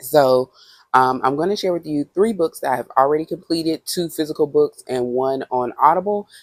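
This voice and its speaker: A woman speaks at a fairly quick pace with ordinary pitch variation. The sound is dry and close, with no echo. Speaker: book vlogger. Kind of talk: casual chat. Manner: casual with frequent fillers.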